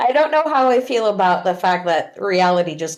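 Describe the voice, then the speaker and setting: Loud and at a moderate pace, a woman speaks with very wide pitch swings. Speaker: podcast guest, band fan. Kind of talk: casual chat.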